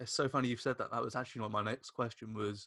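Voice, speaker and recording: A man with a British accent at a medium pitch, fairly even intonation, a very clean recording with a silent background, and a dry, close sound with no echo. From Britain. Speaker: podcast host. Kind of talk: interview.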